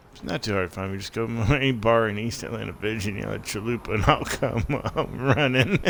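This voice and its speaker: With ordinary pitch variation, a man of medium pitch speaks very fast over noticeable background noise. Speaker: game streamer. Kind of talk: live game stream commentary. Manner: loud.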